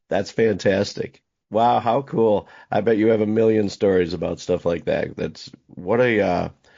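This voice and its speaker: At a moderate pace, a man talks in an unremarkable speaking voice, fairly low in pitch with ordinary pitch variation. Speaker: podcast host. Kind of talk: casual interview questions.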